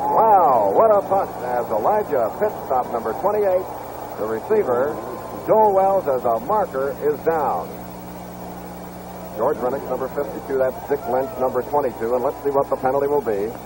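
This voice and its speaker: Very wide pitch swings from a man at a fairly high pitch, a moderate pace, and noticeable background noise. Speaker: football play-by-play announcer. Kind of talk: live football play-by-play commentary. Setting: vintage television broadcast.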